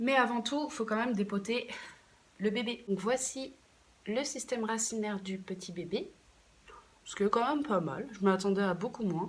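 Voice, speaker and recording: Somewhat breathy, fairly high female voice with ordinary pitch variation at a moderate pace, with long, frequent pauses. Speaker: plant care YouTuber. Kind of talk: casual vlog tutorial. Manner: hesitant, many fillers.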